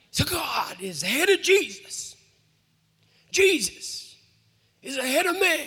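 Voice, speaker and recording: A man in a put-on character voice, extremely high in pitch, at a fairly slow pace with long, frequent pauses. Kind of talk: sermon style. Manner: preaching, deliberate.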